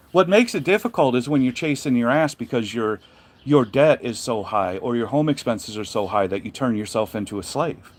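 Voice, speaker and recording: This man speaks at a fairly quick pace with medium pitch. His intonation is lively. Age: 50s. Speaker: truck driver and carrier owner. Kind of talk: casual monologue livestream. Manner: animated.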